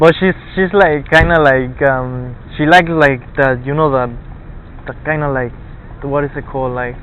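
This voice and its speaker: A man with a Spanish accent, fairly high in pitch, at a moderate pace with long, frequent pauses, over noticeable background noise. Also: fairly even intonation. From Argentina. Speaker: college student. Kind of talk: casual chat. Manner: halting.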